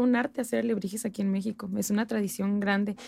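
A woman speaks at a very fast pace. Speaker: history enthusiast and folk dancer. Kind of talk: casual chat.

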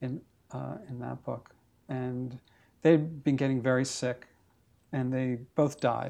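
In a New York accent, the voice moves very slowly with long, frequent pauses, a dark, mellow tone, fairly even intonation and big swings in loudness. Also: man, medium pitch for a man. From New York, Brooklyn. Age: 50s. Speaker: photographer. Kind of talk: casual interview. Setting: at his home.

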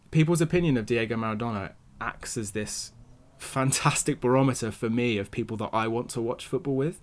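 A man's plain, everyday voice at medium pitch, fairly quick in pace, with ordinary pitch variation. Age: 20s. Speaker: football podcast co-host. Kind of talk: casual chat.

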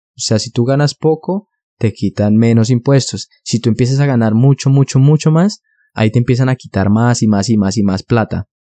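In a dry, close recording with no echo and a quiet background, a man talks at a moderate pace in a dark, mellow, medium-pitched voice with ordinary pitch variation. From Colombia, Bogotá. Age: 20s. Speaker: podcaster. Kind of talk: solo podcast monologue.

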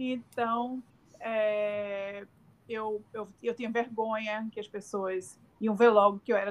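Fairly high in pitch, a woman with a Brazilian accent speaks at a fairly slow pace in a monotone, flat intonation. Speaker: communications professional and podcast host. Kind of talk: casual interview chat.

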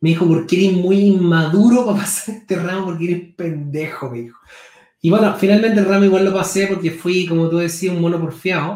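Speech comes at a fairly quick pace with fairly even intonation. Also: man, high pitch for a man. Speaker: podcast host. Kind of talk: interview conversation.

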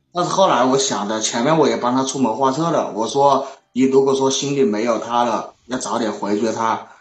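With hardly any pauses, a man speaks at a moderate pace and medium pitch amid audible room echo. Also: ordinary pitch variation. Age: 20s. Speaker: caller seeking relationship advice. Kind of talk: call-in conversation.

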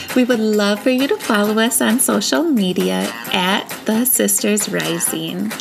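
Over noticeable background noise, a woman talks at a fairly slow pace with very even loudness. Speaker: podcast host and spiritual guide. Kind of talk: guided meditation. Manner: soft, slow, soothing, calm and peaceful.

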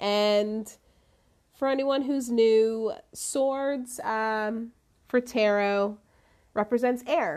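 A woman speaks at a very slow pace with a fairly high pitch and ordinary pitch variation. Her tone is relaxed, with long, frequent pauses over a quiet background. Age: 30s. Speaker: podcast host and life coach. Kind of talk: casual solo talk and tarot reading. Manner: laughs often, relaxed.

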